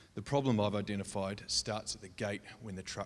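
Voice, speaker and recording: Speaking fairly quickly in a New Zealand accent, a man keeps a fairly low pitch and fairly even intonation. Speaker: logistics designer pitching a startup. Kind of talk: startup pitch.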